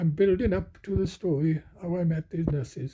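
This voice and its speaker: A dark, mellow tone with a Welsh accent, at a moderate pace. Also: man. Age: 70s. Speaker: retired coal miner. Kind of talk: casual talk to camera.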